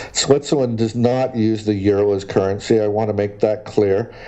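Against noticeable background noise, a man speaks in a medium pitch with fairly even intonation. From Canada, schooled in Great Britain. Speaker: exploration geologist. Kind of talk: interview. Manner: hesitant, many fillers.

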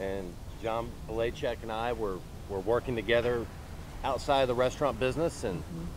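Over noticeable background noise, in a dry sound with no echo, a man talks at a fairly quick pace with lively intonation. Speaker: guest. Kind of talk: interview answer. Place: street.

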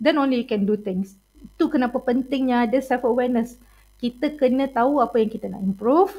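This woman talks at a fairly quick pace in a high voice. Her tone is dark and mellow, with ordinary pitch variation. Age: 40s. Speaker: university lecturer. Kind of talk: lecture. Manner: code-switching Malay and English, many fillers.

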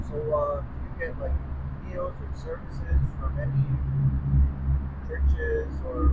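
Long, frequent pauses break up the speech, and loud background noise runs beneath it. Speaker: street interviewer. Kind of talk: interview questions. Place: street. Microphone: phone near.

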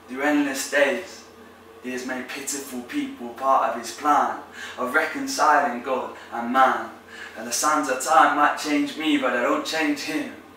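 At a fairly slow pace, a man with a fairly high pitch speaks in a passionate tone with fairly even intonation, amid audible room echo and light background noise. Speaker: spoken word poet. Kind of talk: performed spoken-word poem, faith-based. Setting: poetry competition entry. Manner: rhythmic, emphatic delivery with alliteration and rhyme; passionate, building, declamatory. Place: home room.

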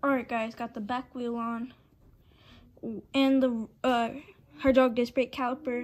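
Fairly even intonation from a woman with a high pitch. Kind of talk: tutorial. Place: home room. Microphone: phone near.

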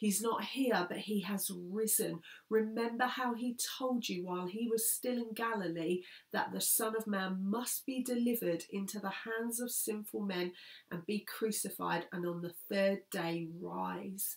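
Against a quiet background, a woman talks at a fairly slow pace with fairly even intonation. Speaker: speaker. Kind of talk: scripture reading and sermon talk. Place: home room. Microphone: phone near.

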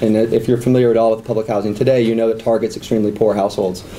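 Amid noticeable background noise, a man speaks at a medium pitch. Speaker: professor. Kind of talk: lecture. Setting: seminar room with audience. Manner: frequent fillers and repetitions.

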